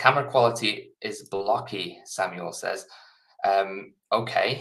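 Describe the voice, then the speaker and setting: The speech comes at a fairly slow pace with an English accent. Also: man. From England. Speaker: software developer and co-founder. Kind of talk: live coding stream. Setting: live stream from home office. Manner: casual, hesitant with fillers.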